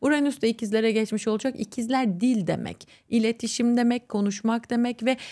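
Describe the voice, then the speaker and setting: Her pitch sits fairly high, in an ordinary speaking voice, at a moderate pace. The recording is very clean, with a silent background. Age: 30s. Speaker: astrologer. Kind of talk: interview.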